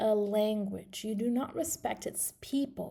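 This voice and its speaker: A dark, mellow tone with ordinary pitch variation. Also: woman. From Morocco. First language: Moroccan Arabic (Darija). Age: 20s. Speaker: English teacher. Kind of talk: video presentation. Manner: halting, many fillers.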